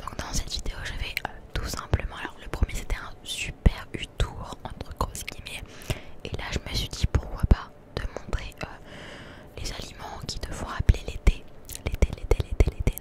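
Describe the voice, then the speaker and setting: Over loud background noise, a soft-spoken woman whispers at a fairly slow pace, the sound dry with no echo. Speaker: ASMR content creator. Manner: soft close-mic ASMR whisper. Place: shop. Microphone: handheld.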